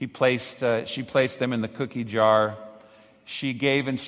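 The text is read aloud plainly, with intonation that stays fairly even.

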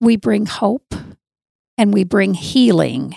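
Speaking very slowly with vocal fry, a woman at medium pitch has a dark, mellow tone in a dry, close sound with no echo. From US Southwest (southern Arizona). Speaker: church ministry leader. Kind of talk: interview.

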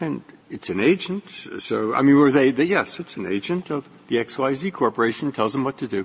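A man speaks at a moderate pace. His pitch is fairly high and his intonation lively. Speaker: judge. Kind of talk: oral argument. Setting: courtroom. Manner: halting.

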